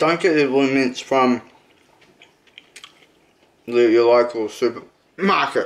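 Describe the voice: At a slow pace, a man speaks at a medium pitch with ordinary pitch variation.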